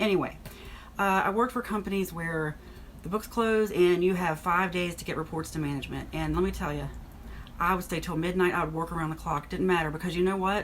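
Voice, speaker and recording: Here a woman speaks at a very fast pace. Her pitch is fairly low, and her intonation is fairly even. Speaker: author and former accountant. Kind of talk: casual vlog monologue. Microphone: poor microphone.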